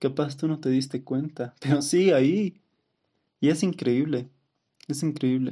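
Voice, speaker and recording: The man's voice has a dark, mellow tone. He speaks at a fairly slow pace. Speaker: podcast host. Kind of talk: testimony. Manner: laughs often.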